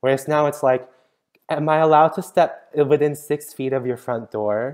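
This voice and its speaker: The intonation is fairly even. The pace is moderate. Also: man, fairly high pitch for a man. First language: not English. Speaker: youth podcast co-host. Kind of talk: casual chat. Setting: remote recording.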